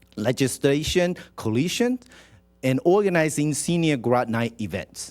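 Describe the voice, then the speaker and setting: A man with a Taiwanese accent, fairly slow pace and lively intonation, on a very clean recording with a silent background. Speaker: city council member. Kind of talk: reading a proclamation at a council meeting.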